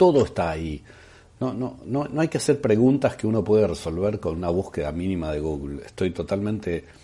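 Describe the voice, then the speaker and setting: A man speaks with lively intonation at a fairly low pitch. His tone is dark and mellow. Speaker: podcast host, former radio presenter. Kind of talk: casual monologue, film and series recommendations.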